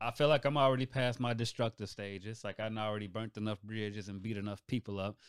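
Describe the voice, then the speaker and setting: Speaking very fast with hardly any pauses, a man with a fairly low pitch keeps his intonation fairly even, and the very clean recording has a silent background and a dry, close sound with no echo. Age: 30s. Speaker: new podcast team member. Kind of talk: casual chat.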